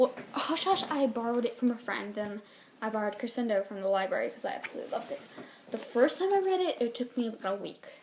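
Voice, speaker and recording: A high-pitched woman with an American accent, talking at a very fast pace with lively intonation over noticeable background noise. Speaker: book reviewer vlogger. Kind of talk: casual book review vlog. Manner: halting, self-correcting.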